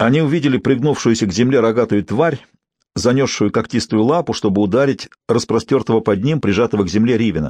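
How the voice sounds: A natural reading voice with ordinary pitch variation, set against a quiet background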